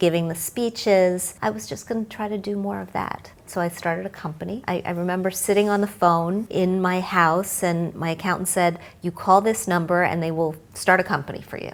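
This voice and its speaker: A woman talks at a fairly quick pace with hardly any pauses in an ordinary speaking voice, using a medium pitch with ordinary pitch variation. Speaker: financial journalist. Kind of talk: interview answer.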